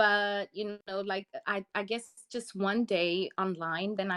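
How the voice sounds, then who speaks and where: A woman speaks at a medium pitch in a flat monotone. The sound is dry and close, without echo. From South Africa. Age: 30s. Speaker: ESL teacher. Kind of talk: research interview.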